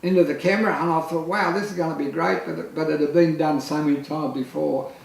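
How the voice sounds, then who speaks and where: Noticeable background noise and audible room echo surround this recording. A man with a fairly high pitch speaks at a fairly quick pace with an Australian accent. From Australia, Lismore, New South Wales. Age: 60s. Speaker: photographer. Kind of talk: casual chat. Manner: halting.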